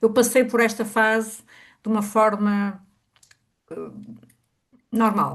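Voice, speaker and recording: At a very slow pace with long, frequent pauses, a woman speaks in a fairly high, somewhat breathy voice with monotone, flat intonation. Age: 60s. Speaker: workshop attendee. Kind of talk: personal testimony. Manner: halting.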